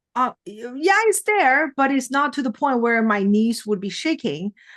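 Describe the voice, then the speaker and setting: Lively intonation carries a woman's speech. She keeps a moderate pace against a quiet background. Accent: non-native. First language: not English. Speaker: mindset trainer and keynote speaker. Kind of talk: podcast interview.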